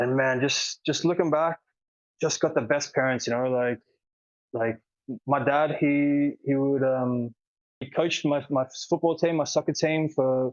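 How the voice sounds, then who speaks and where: This man talks at a fairly slow pace with a fairly high pitch, fairly even intonation, and long, frequent pauses. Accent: Australian. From Australia, Sydney (Manly). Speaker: world traveler, cyclist. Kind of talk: podcast interview. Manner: casual, filler-heavy.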